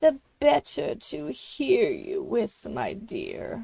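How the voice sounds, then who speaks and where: In a put-on character voice with a high pitch, the speaker goes at a very slow pace. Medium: read story. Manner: growling.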